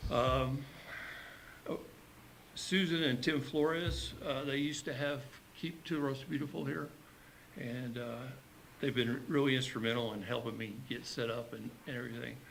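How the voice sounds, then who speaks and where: This man talks at a moderate pace with medium pitch, ordinary pitch variation and vocal fry. Long, frequent pauses break his speech, and room echo is audible. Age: 60s. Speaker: community volunteer. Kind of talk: public comment at a county meeting. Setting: county commission meeting. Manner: halting, many fillers.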